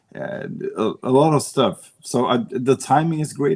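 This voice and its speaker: This is a man speaking. He has a Swedish accent. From Sweden. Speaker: para pool player. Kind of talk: interview.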